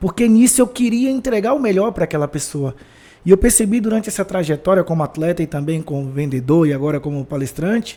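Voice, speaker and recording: A man with a Bahian accent talks at a fairly quick pace, his dark, mellow tone carried by lively intonation. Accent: Bahian, northeastern Brazilian. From Bahia, Brazil (Feira de Santana). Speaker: former footballer and sales speaker. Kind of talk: podcast interview.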